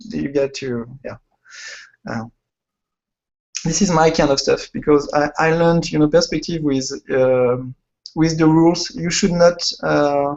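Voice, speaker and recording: Pausing long and often, a man with a fairly high pitch talks at a fairly slow pace with ordinary pitch variation. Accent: French. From France. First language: French. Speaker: illustrator and concept artist. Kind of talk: interview. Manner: halting.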